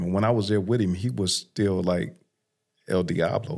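In a plain, everyday voice with an American accent, a man talks at a moderate pace and a fairly low pitch with ordinary pitch variation, on a very clean recording with a silent background. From South Los Angeles. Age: 50s. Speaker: criminal justice reform advocate, former prisoner. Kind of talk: testimony.

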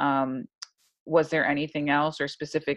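A woman with an American accent, her pitch very deep and low, her intonation fairly even. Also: dry, close sound with no echo. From New York, US. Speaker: podcast host, service academy graduate. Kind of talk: interview.

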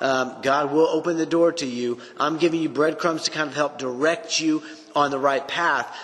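A man with a fairly high pitch uses fairly even intonation against noticeable background noise. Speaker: Bible teacher podcast host. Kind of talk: Bible teaching monologue. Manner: casual with filler words.

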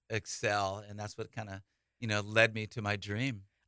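Speaking with a Californian accent, a man with a bright, sharp tone talks at a moderate pace in a fairly low pitch, captured in a very clean recording with a silent background and a dry, close sound free of echo. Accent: Californian American. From Northern California (Saratoga, San Jose area). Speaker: college baseball head coach. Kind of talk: radio interview. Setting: radio studio. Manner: energetic, enthusiastic.

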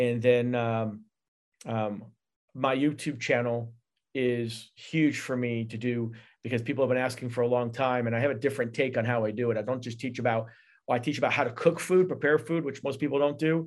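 Using an ordinary speaking voice, a man talks at a fairly quick pace, his medium pitch carrying fairly even intonation. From upstate New York. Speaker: chef and video producer. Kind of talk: casual interview. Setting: video call.

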